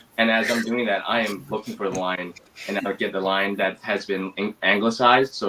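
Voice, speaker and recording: Someone speaks at a very fast pace in a flat monotone, with noticeable background noise behind. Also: man. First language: Mandarin. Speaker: actor. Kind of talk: interview. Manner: hesitant, many fillers.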